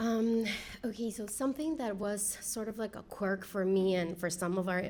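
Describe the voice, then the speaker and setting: A woman with a Spanish accent talks at a moderate pace. Her intonation is fairly even, and the room echo is audible. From Peru. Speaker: engineering leader. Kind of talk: panel discussion. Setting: stage with audience.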